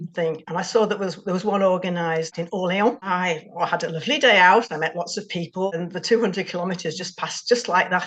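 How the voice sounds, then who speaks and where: Medium in pitch, a woman with an English accent talks at a very fast pace. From England. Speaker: amateur cyclist. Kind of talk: interview.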